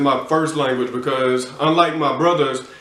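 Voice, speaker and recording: In an American accent, a man with a fairly high pitch talks at a fairly quick pace and with fairly even intonation, with audible room echo and noticeable background noise. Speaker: podcast co-host. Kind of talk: casual chat.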